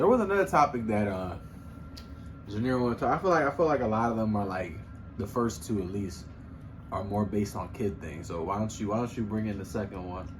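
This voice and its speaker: A man with an American accent talks at a fairly quick pace, his fairly low pitch carrying lively intonation. Music plays in the background, and room echo is audible. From Philadelphia, US. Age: 20s. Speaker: podcast co-host. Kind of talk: casual chat.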